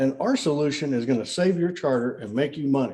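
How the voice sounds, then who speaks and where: A man talks in a dark, mellow tone. He moves at a fairly quick pace. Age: 60s. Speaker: banking industry veteran. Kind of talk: casual podcast interview. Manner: animated.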